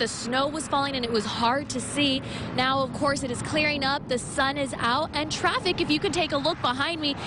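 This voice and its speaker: A woman uses a raised, projected voice at a high pitch, keeping her intonation fairly even over noticeable background noise. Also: moderate pace. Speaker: news anchor and reporter, bilingual host. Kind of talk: local TV news field reporting and interviewing.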